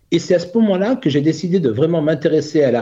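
A man speaks with a dark, mellow tone. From Burgundy, France. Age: 50s. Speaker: author and coach. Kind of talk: interview. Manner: hesitant with fillers.

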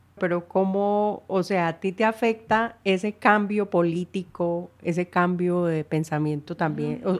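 A woman speaks fairly slowly in an unremarkable speaking voice, with hardly any pauses. Her pitch is fairly low and her intonation fairly even. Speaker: podcast host. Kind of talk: interview conversation.

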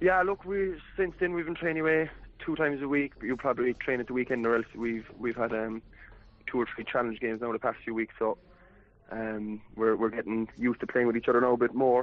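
With a West Cork accent, a man talks at a fairly quick pace. His pitch is medium and shows ordinary variation. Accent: West Cork Irish. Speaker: footballer. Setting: phone call.

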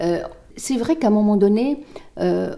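With a dark, mellow tone at a medium pitch, a woman speaks using lively intonation. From Tunisia. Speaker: lawyer. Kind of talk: interview. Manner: halting.

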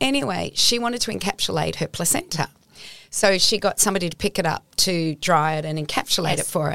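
A woman with an Australian accent speaks at a fairly quick pace and a fairly low pitch, with vocal fry. Her pitch varies in an ordinary way, and the sound is dry and close with no echo. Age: 60s. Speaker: nutritionist. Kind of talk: interview. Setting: studio. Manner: animated.

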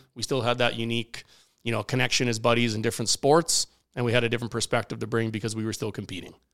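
The speaker races along at a very fast pace with a Canadian Prairies accent on a very clean recording with a silent background. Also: man. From Saskatchewan, Canada (Regina). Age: 30s. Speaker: professional curler. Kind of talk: casual chat. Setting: studio.

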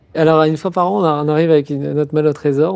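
The voice is a man's, dark and mellow in tone. He talks fairly quickly. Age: 50s. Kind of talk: interview. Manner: halting.

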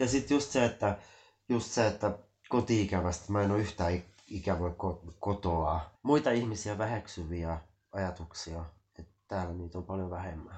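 Very deep and low in pitch, a man speaks at a moderate pace. His voice is somewhat breathy, with ordinary pitch variation. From Finland, Helsinki. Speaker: Finnish emigrant interviewee. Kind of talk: casual chat.

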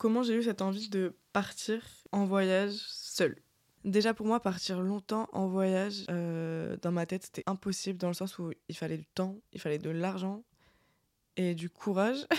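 The sound is dry and close with no echo as a woman of medium pitch talks at a fairly slow pace with fairly even intonation. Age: 20s. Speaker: podcast host. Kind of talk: casual chat. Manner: casual, hesitant with fillers.

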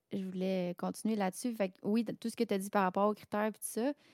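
On a very clean recording with a silent background and a dry, close sound with no echo, a woman with a Quebec accent speaks at a medium pitch with fairly even intonation. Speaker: hobby singer and music streamer. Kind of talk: casual chat.

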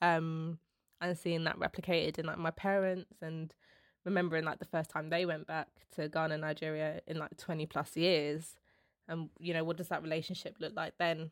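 In a London accent, a woman speaks at a moderate pace with fairly low pitch and monotone, flat intonation. The recording is very clean, with a silent background and a dry, close sound with no echo. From London, England. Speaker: cultural producer. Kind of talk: casual interview.

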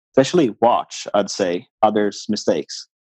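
In a Swedish accent, a man speaks at a moderate pace. The sound is dry and close, with no echo. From Sweden, island near Stockholm. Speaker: racing driver. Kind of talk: interview.

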